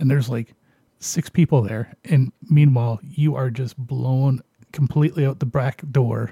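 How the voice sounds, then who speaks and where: A man with a dark, mellow, somewhat breathy tone speaks at a medium pitch and moderate pace with fairly even intonation, in a dry, close sound with no echo. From Canada. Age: 40s. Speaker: radio show host. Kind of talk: casual chat.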